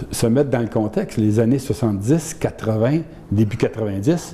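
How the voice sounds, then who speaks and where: A man with a medium pitch speaks at a moderate pace with ordinary pitch variation. Noticeable background noise sits behind him. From Quebec, Saint-Hyacinthe region. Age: 70s. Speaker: retired lawyer and union official. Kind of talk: interview.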